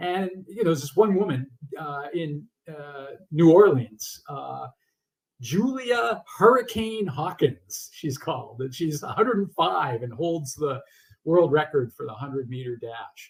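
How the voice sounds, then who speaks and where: In an American accent, a man speaks at a fairly high pitch with very wide pitch swings and big swings in loudness. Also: fairly slow pace. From Massachusetts. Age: 60s. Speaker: author. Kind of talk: interview. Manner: halting.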